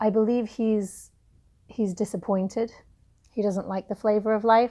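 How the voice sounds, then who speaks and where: A woman with an English accent talks at a moderate pace in a fairly high, dark, mellow voice with monotone, flat intonation, recorded very cleanly over a silent background. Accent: English accent, obvious. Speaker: book reviewer, self-help vlogger. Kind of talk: casual vlog talk. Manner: halting, many fillers.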